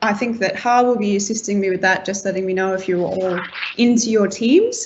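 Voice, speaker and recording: A woman's medium-pitched voice with an Australian accent, fairly even intonation, and audible room echo. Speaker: team-building game facilitator. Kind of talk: online event facilitation.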